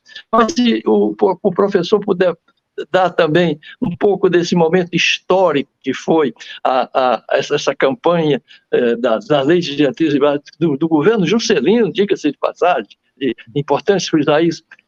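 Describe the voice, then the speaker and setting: A man's high-pitched voice with lively intonation at a moderate pace, in a dry, close sound with no echo. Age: 80s+. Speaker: TV talk show host. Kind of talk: interview conversation. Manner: halting, many repetitions.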